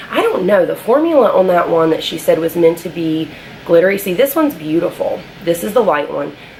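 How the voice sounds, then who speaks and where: Against noticeable background noise, a woman of medium pitch speaks at a fairly quick pace. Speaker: beauty vlogger. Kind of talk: casual talk to camera, product review.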